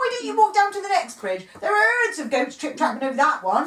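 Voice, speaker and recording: A woman does a put-on character voice at an extremely high pitch. Her pitch swings very widely at a fairly quick pace. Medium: read story.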